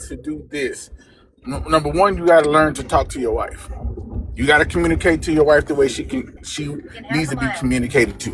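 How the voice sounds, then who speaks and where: A man speaks at a fairly high pitch and fairly quick pace with ordinary pitch variation. Noticeable background noise is present. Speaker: caller married 21 years giving advice. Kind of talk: live call-in advice. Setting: driving in a car, video call. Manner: calm, even tone.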